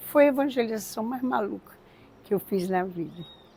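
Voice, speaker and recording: Noticeable background noise accompanies a woman who talks at a fairly slow pace with a fairly high pitch. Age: 70s. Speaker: religious community co-founder. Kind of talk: testimony.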